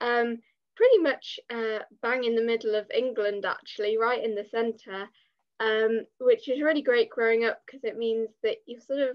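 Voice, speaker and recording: Against a quiet background, a woman speaks with an English accent. Her pitch is fairly high. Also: fairly even intonation, moderate pace, big swings in loudness. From English Midlands, Leicestershire; English Midlands. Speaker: content creator and writer; content creator. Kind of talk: podcast interview. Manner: hesitant, many fillers. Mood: relaxed, friendly. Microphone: video call.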